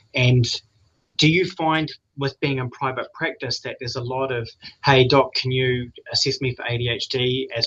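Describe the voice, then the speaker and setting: The speaker has a New Zealand accent. The delivery is moderate in pace, with fairly even intonation. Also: man. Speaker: addiction trainee clinician. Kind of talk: question in seminar.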